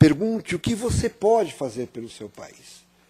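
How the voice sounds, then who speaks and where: Speaking at a moderate pace, a man with a somewhat breathy voice swings his pitch very widely. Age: 60s. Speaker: panel guest. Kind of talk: panel talk. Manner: halting, many fillers.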